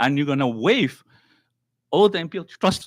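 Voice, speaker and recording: A man's fairly high voice with very wide pitch swings, dry and close with no echo. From Northern Mariana Islands, Tinian. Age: 60s. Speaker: public commenter at legislature. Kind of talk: public testimony. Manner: halting.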